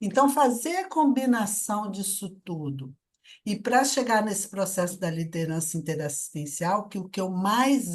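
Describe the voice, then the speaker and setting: Using a plain, everyday voice, a woman speaks at a fairly slow pace with lively intonation. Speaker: conscientiology researcher presenting her work. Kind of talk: online debate, personal testimony.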